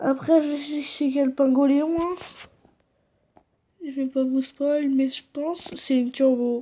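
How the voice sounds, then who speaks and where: A woman speaks at a high pitch in a flat, monotone way. Her pace is very slow, broken by long, frequent pauses. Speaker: gaming youtuber. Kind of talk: gameplay commentary.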